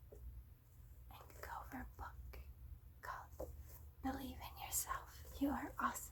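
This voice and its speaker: Against noticeable background noise, a soft-spoken woman whispers at a very slow pace in a gentle tone. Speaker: ASMR video creator. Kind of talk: ASMR personal attention, soft-spoken affirmations. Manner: soft-spoken, gentle, whispering.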